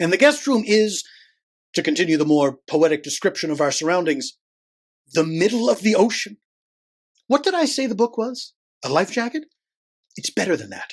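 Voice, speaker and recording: Against a quiet background, a man speaks at a high pitch with very wide pitch swings and long, frequent pauses. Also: moderate pace. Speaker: audiobook narrator. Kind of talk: audiobook reading.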